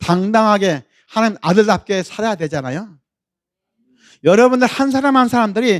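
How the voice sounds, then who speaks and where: A man with a high pitch talks at a moderate pace in a very clean recording with a silent background. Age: 70s. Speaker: pastor. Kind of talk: sermon.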